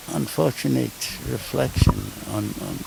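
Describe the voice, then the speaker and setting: A man's fairly slow speech comes through with noticeable background noise behind it. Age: 80s+. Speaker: retired lecturer, professor. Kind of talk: interview answer.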